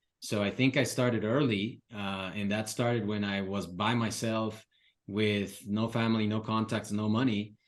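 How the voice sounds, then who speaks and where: A man with a Spanish accent, fairly low in pitch, monotone and flat, at a moderate pace against a quiet background. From Ecuador, Quito. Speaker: real estate investor and mentor. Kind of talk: podcast interview.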